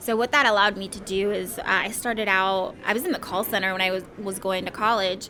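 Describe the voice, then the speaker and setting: Against noticeable background noise, a woman talks at a moderate pace and medium pitch. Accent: Midwestern. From Somalia, raised in Ohio from childhood. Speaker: IT project manager. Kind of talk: podcast interview.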